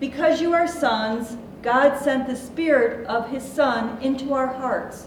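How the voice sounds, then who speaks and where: Very slow speech from a woman with a high pitch and ordinary pitch variation, over noticeable background noise. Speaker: worship leader. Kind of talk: reading aloud. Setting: church.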